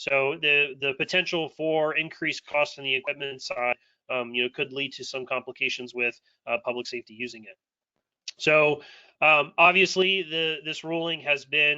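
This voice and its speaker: A man with a fairly high pitch keeps his intonation fairly even. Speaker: state public safety broadband official. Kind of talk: webinar panel presentation. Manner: fast.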